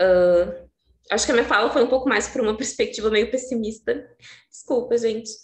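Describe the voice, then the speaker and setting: Fairly quick speech with ordinary pitch variation over a quiet background. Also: woman. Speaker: social worker speaker at a seminar. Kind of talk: panel talk. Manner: fast.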